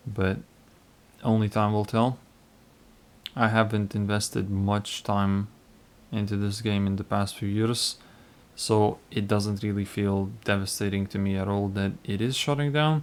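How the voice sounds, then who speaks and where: Speaking at a fairly slow pace, a man with a fairly low pitch keeps his intonation fairly even and leaves long, frequent pauses. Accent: non-native. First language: not English (non-native speaker). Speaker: gaming YouTuber. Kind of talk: casual gameplay commentary. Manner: hesitant, with fillers.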